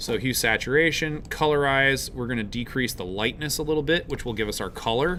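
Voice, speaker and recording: The voice has a bright, sharp tone and moves at a fairly quick pace with hardly any pauses. Audible room echo surrounds it. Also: man, fairly high pitch for a man, ordinary pitch variation. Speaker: college instructor. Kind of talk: lecture. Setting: live class with students.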